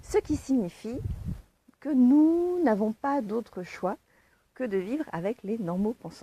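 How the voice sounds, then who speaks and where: Speaking very slowly, a woman with a fairly high pitch makes very wide pitch swings. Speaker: online coach on giftedness. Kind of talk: casual talk to camera, livestream. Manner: hesitant, many fillers.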